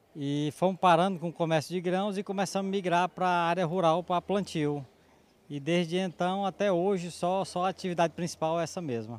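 A man speaks at a high pitch and a fairly quick pace. His intonation is fairly even, in a very clean recording with a silent background. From Maranhão, Brazil. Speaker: farmer. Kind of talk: interview.

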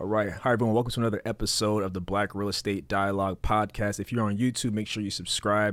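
A very fast pace with hardly any pauses and monotone, flat intonation. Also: man. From Haitian heritage. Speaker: real estate podcast host. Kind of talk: casual interview.

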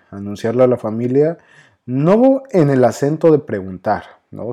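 A man talks at a fairly slow pace in a Mexico City accent. His tone is dark and mellow. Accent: Mexico City (chilango). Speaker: psychologist, podcast host. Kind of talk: personal storytelling monologue.

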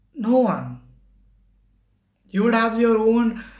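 With audible room echo around him, a man talks at a fairly slow pace. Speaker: solo podcaster. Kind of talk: casual monologue. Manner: halting.

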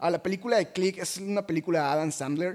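Animated and high pitched, a man speaks at a fairly quick pace with ordinary pitch variation. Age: 20s. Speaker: podcast host and motivational speaker. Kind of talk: casual monologue.

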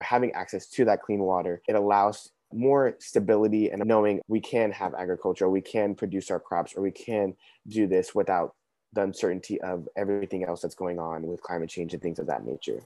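With an American accent and a plain, everyday voice, a man speaks at a fairly quick pace, his fairly low pitch showing ordinary variation. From Texas (Houston). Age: young. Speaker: youth activist, nonprofit ambassador. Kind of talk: podcast interview.

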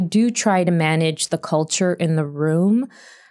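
An ordinary speaking voice, a woman's, sits at a fairly low pitch with ordinary pitch variation on a very clean recording with a silent background. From Canada. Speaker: TV writer. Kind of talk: panel discussion.

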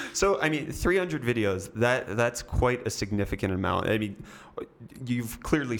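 Over noticeable background noise, a man with an American accent speaks at a moderate pace with lively intonation. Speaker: podcast host. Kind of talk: casual interview chat.

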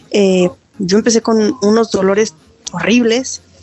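A woman speaks at a fairly slow pace in a fairly high voice, with ordinary pitch variation and music playing in the background. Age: 40s. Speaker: CrossFit athlete and training facilitator. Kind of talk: personal testimony interview.

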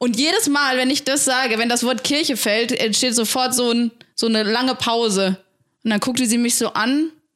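A woman's high voice with ordinary pitch variation. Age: 20s. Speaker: church youth worker. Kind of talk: casual chat. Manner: loud.

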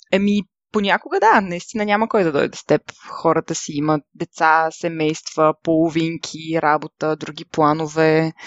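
The intonation is fairly even, and the pace is moderate. It is an ordinary speaking voice. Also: woman, fairly low pitch for a woman. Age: 20s. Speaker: travel podcaster. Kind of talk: solo podcast monologue.

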